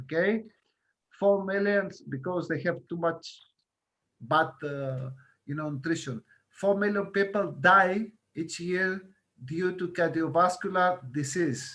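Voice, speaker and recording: A man's high, bright and sharp voice with a Greek accent, ordinary pitch variation and long, frequent pauses. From Greece, Crete. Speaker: guest lecturer on healthy lifestyle. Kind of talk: lecture. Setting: video call. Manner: halting, many fillers.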